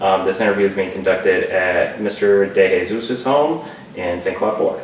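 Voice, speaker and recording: A man speaks fairly quickly while noticeable background noise fills the clip. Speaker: oral historian. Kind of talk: interview questions.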